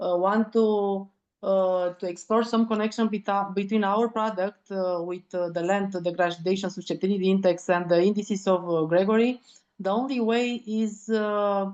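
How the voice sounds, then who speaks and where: With a Romanian accent, a woman talks at a moderate pace in a medium pitch and fairly even intonation. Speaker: land degradation researcher. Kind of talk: online seminar discussion. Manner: halting, searching for words.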